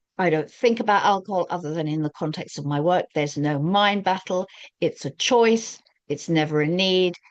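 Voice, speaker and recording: A woman's fairly low-pitched, normal speaking voice at a fairly quick pace with ordinary pitch variation. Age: 60s. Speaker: recovery coach. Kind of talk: talking-head advice monologue.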